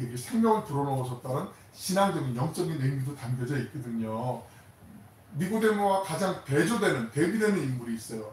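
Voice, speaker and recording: There is audible room echo as a man talks at a fairly quick pace. His pitch is fairly high and his intonation lively. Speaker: pastor. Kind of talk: sermon. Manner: fast; animated.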